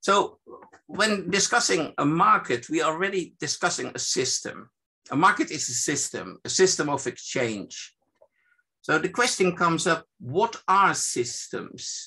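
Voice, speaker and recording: At a fairly slow pace, a man talks in a high pitch with a bright, sharp tone and lively intonation. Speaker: evaluation expert presenting a seminar. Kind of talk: lecture. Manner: halting, many fillers.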